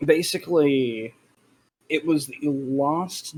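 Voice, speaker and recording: Using fairly even intonation, a man with an Australian accent talks at a very slow pace and a fairly high pitch. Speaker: streamer. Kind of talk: casual chat.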